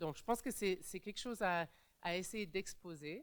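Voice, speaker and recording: This woman speaks with ordinary pitch variation. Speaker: panelist, migrant rights advocate. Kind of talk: conference panel talk. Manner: halting, many fillers and restarts.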